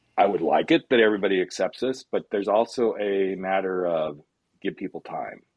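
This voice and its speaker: A man with a fairly low pitch and ordinary pitch variation has a plain, everyday voice. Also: fairly quick pace. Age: 50s. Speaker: life coach. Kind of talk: casual chat.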